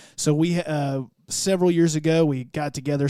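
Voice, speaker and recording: A man speaks in a monotone with flat intonation and a dark, mellow tone, with a slight Southern US accent, on a very clean recording against a silent background. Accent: southern drawl, slight. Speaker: church podcaster and worship musician. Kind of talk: casual interview chat.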